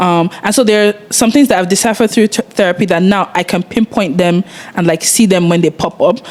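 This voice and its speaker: Against noticeable background noise, a woman speaks at a fairly quick pace in a medium pitch, with ordinary pitch variation and very even loudness. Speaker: podcast co-host. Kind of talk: casual chat.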